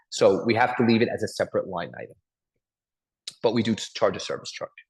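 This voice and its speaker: A man with a Long Island accent, talking at a very fast pace. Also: big swings in loudness. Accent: New York (Long Island). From Long Island, New York. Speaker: mobile grooming business owner. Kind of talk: webinar workshop talk.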